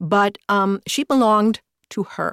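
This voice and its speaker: A woman with an American accent and a plain, everyday voice talks at a fairly high pitch with ordinary pitch variation, recorded very cleanly against a silent background in a dry, close sound with no echo. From Northern Illinois. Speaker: audiobook narrator and director. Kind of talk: casual interview. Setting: studio.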